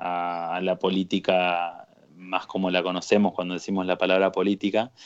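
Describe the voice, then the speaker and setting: A man is speaking. The background is quiet. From Argentina, Paraná, Entre Ríos. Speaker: activist and TV columnist. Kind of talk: casual chat. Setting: video call.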